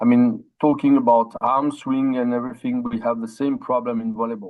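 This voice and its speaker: Speaking at a moderate pace, a man talks with a French accent. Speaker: former volleyball coach. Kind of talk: podcast discussion.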